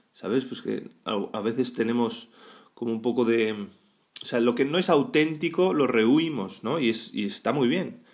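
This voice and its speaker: A man talks with a Spanish accent at a fairly slow pace. His pitch sits in the medium range. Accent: Peninsular Spanish. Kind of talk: weekday Mass homily, exhorting the congregation directly on faith and healing. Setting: church, during Mass. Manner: fervent, pleading second-person appeals with rhetorical questions; conversational and halting, frequent false starts and tag questions.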